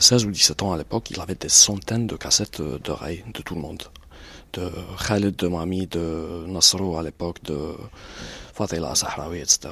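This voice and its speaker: A man with lively intonation and big swings in loudness, fairly slow pace with long, frequent pauses, on a very clean recording with a silent background. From Algeria, Batna. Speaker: writer and journalist. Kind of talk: casual chat. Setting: in a car.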